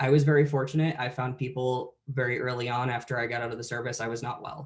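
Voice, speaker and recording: A somewhat breathy man at medium pitch, very fast pace and monotone, flat intonation. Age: 20s. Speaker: veteran and college presenter. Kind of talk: conference presentation.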